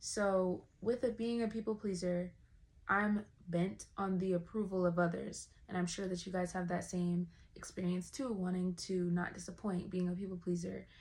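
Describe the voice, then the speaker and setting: A somewhat breathy woman at a moderate pace, with fairly even intonation. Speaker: vlogger. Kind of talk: personal talk to camera. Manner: casual, conversational.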